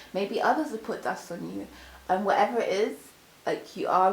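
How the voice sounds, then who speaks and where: A woman talks at a fairly quick pace in a medium pitch. Noticeable background noise and audible room echo fill the recording. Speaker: tarot reader. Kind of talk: tarot reading. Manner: animated.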